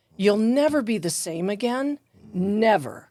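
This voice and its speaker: With an American accent, a woman talks in a dark, mellow tone and lively intonation, captured in a very clean recording against a silent background. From Detroit, US Midwest. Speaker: life coach, author, crime victim's widow. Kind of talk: interview conversation.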